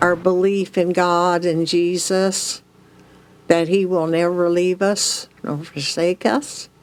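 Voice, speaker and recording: With an American accent, a woman speaks at a very slow pace in a fairly low voice with fairly even intonation. The recording is very clean, with a silent background. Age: 80s+. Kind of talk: interview answer.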